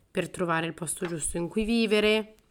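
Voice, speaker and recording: A woman's medium-pitched, fairly even intonation in a plain, everyday voice. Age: 30s. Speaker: podcast host. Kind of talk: solo podcast monologue. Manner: casual, with frequent fillers.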